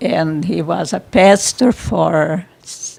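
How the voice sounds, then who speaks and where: This is a woman speaking. Her pitch moves in very wide swings. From Brazil. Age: 90s. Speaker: church member. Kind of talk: interview. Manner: halting.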